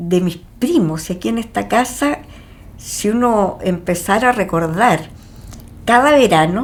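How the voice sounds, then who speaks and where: Noticeable background noise sits behind a woman of medium pitch with lively intonation. She speaks at a fairly slow pace with long, frequent pauses. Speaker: homeowner in documentary. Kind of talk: documentary interview.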